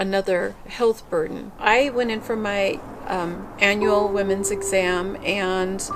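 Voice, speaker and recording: A woman speaks in a flat monotone at medium pitch, with noticeable background noise. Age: 50s. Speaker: cancer patient. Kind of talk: testimony.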